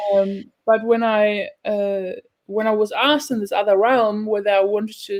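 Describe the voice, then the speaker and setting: A woman with a German accent talks at a fairly high pitch. Her intonation stays fairly even. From Germany (Berlin, Turkish family). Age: 40s. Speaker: healing workshop facilitator. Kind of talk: casual interview. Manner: halting, many fillers.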